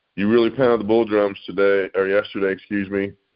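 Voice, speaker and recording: An unremarkable speaking voice at a moderate pace. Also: man. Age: 60s. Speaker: podcast co-host. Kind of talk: casual chat. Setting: podcast.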